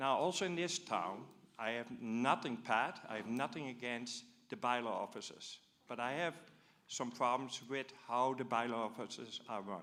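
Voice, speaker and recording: A man at medium pitch with a Dutch accent. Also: ordinary pitch variation, moderate pace. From Netherlands. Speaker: audience member asking a question. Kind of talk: public forum question. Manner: animated.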